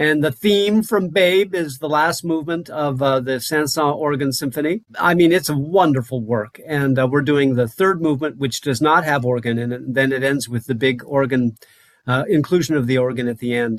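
A man with an unremarkable speaking voice and an American accent speaks at a moderate pace, fairly high in pitch, with ordinary pitch variation and hardly any pauses. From Wyoming, US. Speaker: conductor and clarinetist. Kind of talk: interview.

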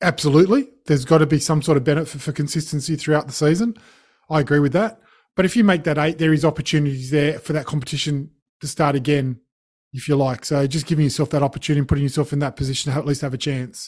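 Very fast, somewhat breathy speech in an Australian accent comes through on a very clean recording with a silent background. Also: man, fairly high pitch for a man, fairly even intonation. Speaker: podcast co-host. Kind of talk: casual chat about sport.

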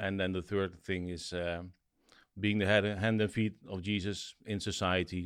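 In a very clean recording with a silent background, a man with a Dutch accent speaks in a very deep, low voice with monotone, flat intonation. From Netherlands. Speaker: school founder and preacher. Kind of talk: casual interview chat.

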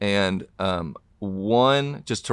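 Lively intonation in a Southern US accent, on a very clean recording with a silent background. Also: man. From US South, Tennessee. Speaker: author and pastor. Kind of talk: interview.

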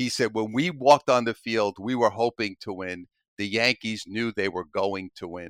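Ordinary pitch variation and big swings in loudness mark this man's fairly low voice at a moderate pace. The recording is very clean, with a silent background. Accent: strong New York. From Brooklyn, New York. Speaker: author and coach. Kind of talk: casual interview.

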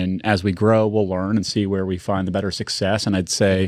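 On a very clean recording with a silent background, a man talks at a fairly quick pace with fairly even intonation. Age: 40s. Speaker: retail company executive. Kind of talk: casual chat. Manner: fast.

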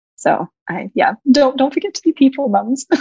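A woman with an American accent speaks at a moderate pace. Her voice is somewhat breathy, with ordinary pitch variation. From Australia. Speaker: website designer. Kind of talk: interview conversation.

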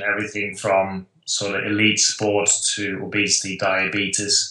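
A man with a Dutch accent talks at a moderate pace, his fairly low pitch carrying a bright, sharp tone. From Netherlands. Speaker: professor, sports nutrition researcher. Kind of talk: interview conversation.

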